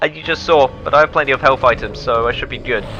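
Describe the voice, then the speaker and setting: Music plays in the background. Over it, a man speaks. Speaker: let's play gamer. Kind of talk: game commentary. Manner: low-energy.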